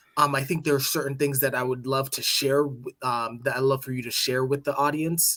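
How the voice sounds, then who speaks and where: A man with an American accent, a bright, sharp tone, a fairly high pitch and monotone, flat intonation. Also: hardly any pauses. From United States. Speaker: podcast host. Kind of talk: casual chat.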